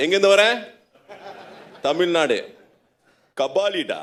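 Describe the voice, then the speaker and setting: The voice has a Chennai accent. The pace is fairly slow. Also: man. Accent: Madrasi Urdu. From Tamil Nadu, India (village near Tiruchendur). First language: Tamil. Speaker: interviewer at an Islamic event. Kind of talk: public interview before an audience.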